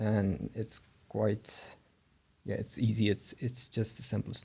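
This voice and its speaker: The speaker has a non-native accent and a dark, mellow tone. Delivery is monotone and flat over a quiet background. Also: man. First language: not English. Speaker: board game reviewer. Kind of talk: tutorial. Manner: hesitant, many fillers.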